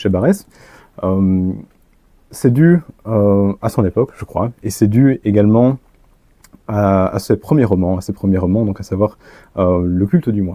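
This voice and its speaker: Dry and close with no echo, this recording has a man with a dark, mellow tone. He speaks at a fairly low pitch with ordinary pitch variation. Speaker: author and lecturer. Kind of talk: lecture. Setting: conference room with audience. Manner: hesitant, many filler sounds.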